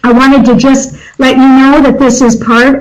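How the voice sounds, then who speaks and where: A woman at a moderate pace, her intonation fairly even, with audible room echo. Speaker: nonprofit governance consultant. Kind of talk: presentation to a board. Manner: halting, many fillers.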